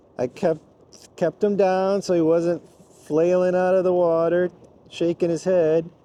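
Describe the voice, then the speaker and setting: A man's high-pitched voice, dark and mellow in tone, at a moderate pace. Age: 60s. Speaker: angler and fishing vlogger. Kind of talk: casual vlog commentary. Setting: outdoors on a boat. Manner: animated.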